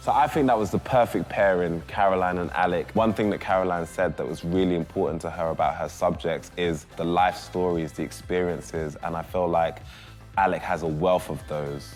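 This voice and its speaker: Music plays in the background while the voice carries ordinary pitch variation. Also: man, very deep, low pitch for a man. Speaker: rapper, TV presenter. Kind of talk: casual talk to camera.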